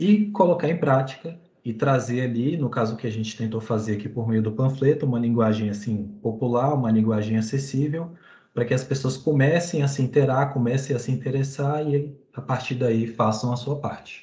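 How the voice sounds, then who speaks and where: A man at medium pitch speaks at a moderate pace with ordinary pitch variation, his tone dark, mellow and somewhat breathy. Audible room echo surrounds his voice. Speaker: student presenter. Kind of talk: class presentation.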